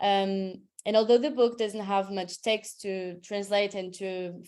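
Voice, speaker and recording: A woman's medium-pitched voice with a Portuguese accent, fairly slow and fairly even in intonation. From Portugal. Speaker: translator. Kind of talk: webinar presentation.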